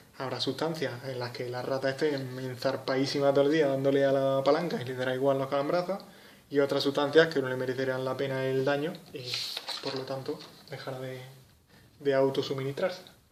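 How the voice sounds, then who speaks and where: A man with an Andalusian accent, medium in pitch and monotone, at a fairly quick pace, with audible room echo and noticeable background noise. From Andalusia, Spain. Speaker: psychology tutor. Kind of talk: lecture. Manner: casual, with hesitations.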